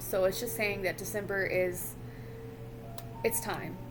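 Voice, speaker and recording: Music plays behind a woman speaking at a moderate pace. Her medium-pitched voice moves in very wide pitch swings. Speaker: tarot reader. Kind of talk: tarot reading to camera.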